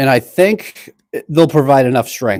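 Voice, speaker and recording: In a Boston accent, a man with a fairly high pitch and a dark, mellow tone talks at a fairly quick pace with ordinary pitch variation, recorded very cleanly against a silent background with a dry, close sound and no echo. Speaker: DIY woodworking YouTuber. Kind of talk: live-stream tutorial. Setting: cold home workshop. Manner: casual, chatty.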